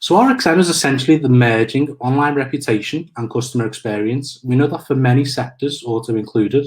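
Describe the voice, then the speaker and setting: This man talks at a fairly quick pace with a medium pitch. His voice is somewhat breathy, with fairly even intonation. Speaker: marketing manager, webinar presenter. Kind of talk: webinar presentation. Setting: online webinar. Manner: halting, many fillers.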